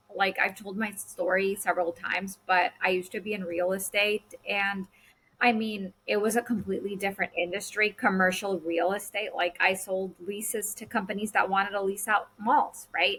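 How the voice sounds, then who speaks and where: The speaker has a Spanish accent and a monotone, flat intonation. There are hardly any pauses. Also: woman, medium pitch for a woman, moderate pace. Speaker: podcast host. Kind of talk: casual chat.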